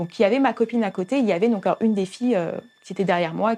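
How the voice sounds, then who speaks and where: Speaking at a very fast pace, a woman has a fairly high pitch and lively intonation. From Paris region, France. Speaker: youth church leader. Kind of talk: testimony. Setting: hair salon. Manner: halting.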